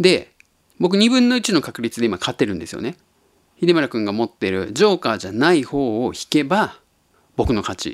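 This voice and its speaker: A man at medium pitch makes very wide pitch swings. The recording is very clean, with a silent background and a dry, close sound with no echo. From Japan, Tottori (eastern). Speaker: podcast host. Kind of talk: casual monologue.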